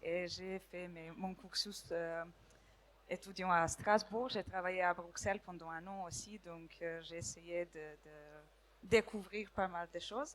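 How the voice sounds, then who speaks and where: At a very slow pace, a woman speaks with fairly low pitch, fairly even intonation and big swings in loudness. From Serbia. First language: Serbian (speaking French). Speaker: law student. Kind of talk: impromptu audience testimony. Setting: stage with audience. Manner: halting.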